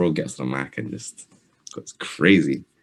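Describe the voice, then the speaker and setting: With a London accent, a man speaks at a very deep, low pitch with vocal fry and ordinary pitch variation. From London, England. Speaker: rapper. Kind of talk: interview. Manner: soft-spoken.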